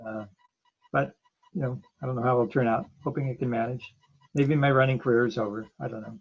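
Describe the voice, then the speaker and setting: A man with an American accent talks at a medium pitch, somewhat breathy. His intonation stays fairly even, with long, frequent pauses. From Ohio, USA. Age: 70s. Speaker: marathon and ultra runner. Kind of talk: podcast interview answer.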